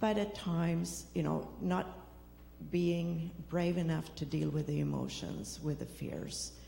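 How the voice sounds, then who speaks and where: A woman talks at a fairly slow pace in a Swedish accent. The room echo is audible, and background noise is noticeable. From Sweden. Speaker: recovery program participant. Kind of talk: testimony.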